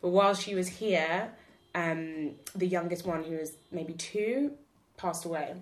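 A woman speaks at a fairly slow pace with a British accent, her pitch fairly low and its variation ordinary. She leaves long, frequent pauses. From England, UK. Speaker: podcast co-host. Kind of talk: casual chat.

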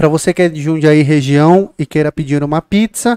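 A normal speaking voice from a man, pitched fairly high, with ordinary pitch variation. The sound is dry and close, with no echo. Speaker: podcast host. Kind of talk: casual podcast chat. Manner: joking, informal.

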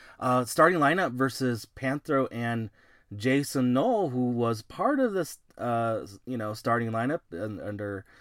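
A man speaks in an ordinary speaking voice at medium pitch. His pace is fairly slow, with ordinary pitch variation. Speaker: wrestling podcast host. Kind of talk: casual podcast preview chat.

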